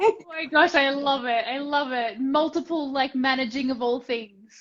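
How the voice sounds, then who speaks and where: Moderate pace, ordinary pitch variation, and an Australian accent. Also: woman, high pitch for a woman. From Australia, Tasmania. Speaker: entrepreneur and business mentor. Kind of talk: casual interview chat.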